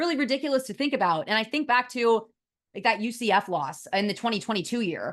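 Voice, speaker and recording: A woman with an American accent speaks at a fairly quick pace in a fairly high pitch, with ordinary pitch variation. It is a plain, everyday voice against a quiet background. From US West Coast, San Francisco Bay Area. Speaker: college football reporter. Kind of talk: solo sports analysis show.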